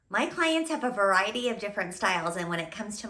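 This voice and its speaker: Amid noticeable background noise and audible room echo, a woman talks at a fairly quick pace with a fairly high pitch and lively intonation. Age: 40s. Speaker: personal stylist. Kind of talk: tutorial.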